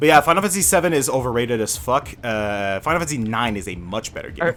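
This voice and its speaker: The speaker talks very fast with a Quebec accent, pitch swinging very widely. Noticeable background noise runs underneath. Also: man, medium pitch for a man. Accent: French Canadian accent in English. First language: French. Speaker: gamer. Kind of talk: casual chat. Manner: animated.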